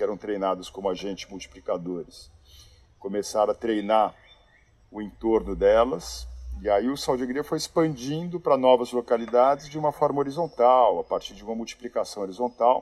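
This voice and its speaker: This man has an unremarkable speaking voice at a medium pitch, talking at a fairly quick pace with ordinary pitch variation and big swings in loudness. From Brazil, São Paulo. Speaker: social project founder. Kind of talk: interview conversation.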